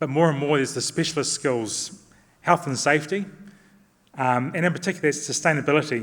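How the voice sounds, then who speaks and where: A man in a New Zealand accent speaks fairly quickly at a fairly high pitch, with ordinary pitch variation. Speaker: construction company director. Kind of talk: conference talk. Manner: fast.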